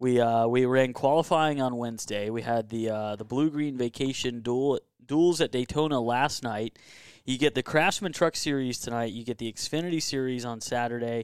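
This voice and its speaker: A man of medium pitch with an American accent, moderate pace and ordinary pitch variation, in a dry, close sound with no echo. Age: 30s. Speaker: NASCAR expert guest. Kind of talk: casual chat. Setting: man cave at home.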